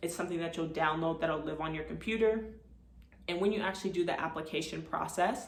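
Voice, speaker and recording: Amid noticeable background noise and audible room echo, a woman talks at a very fast pace in a fairly low pitch with fairly even intonation. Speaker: notary and video creator. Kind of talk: tutorial.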